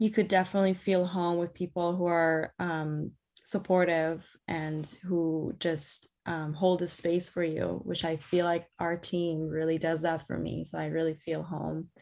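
Using a fairly low pitch and a monotone, flat intonation, a woman with a slight Persian accent speaks at a fairly slow pace with hardly any pauses. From Iran. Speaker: theatre director. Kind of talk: interview.

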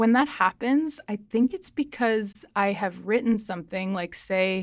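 A woman speaks in an ordinary speaking voice. Her pitch variation is ordinary. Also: very clean recording, silent background. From Nova Scotia, Canada (rural), partly southern Mexico. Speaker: poet and creative writing student. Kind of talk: casual interview. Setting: radio studio.

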